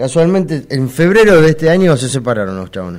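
A moderate pace in a Rioplatense accent. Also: man. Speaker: radio host. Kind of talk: casual chat.

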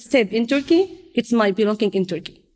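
A woman speaks in an Arabic accent at a high pitch. Her pitch swings very widely. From Syria. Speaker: refugee outreach team leader and English teacher. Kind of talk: interview.

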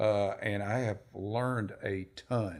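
In a very clean recording with a silent background, a man talks with a Tennessee accent. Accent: Southern US (Tennessee). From US South, Nashville, Tennessee. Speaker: office manager. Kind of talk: casual interview chat. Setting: studio.

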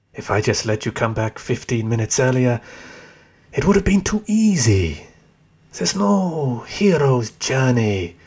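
A man speaks at a medium pitch and a fairly slow pace, his voice somewhat breathy with a smug tone and very wide pitch swings. The recording is very clean, with a silent background. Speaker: fictional tempter character, voice actor. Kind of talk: scripted audio drama dialogue. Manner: sardonic, mocking, smug.

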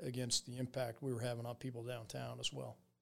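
A man's medium-pitched, ordinary speaking voice at a fairly quick pace, with an American accent. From central New Jersey (Edison), near New York City. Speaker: army general. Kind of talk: interview conversation.

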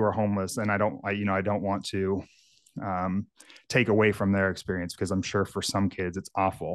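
Set against a quiet background, an ordinary speaking voice moves at a fairly quick pace with an American accent. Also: man. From Northern California (rural Lake County). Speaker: fitness coach and podcast co-host. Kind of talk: casual chat. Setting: video call.

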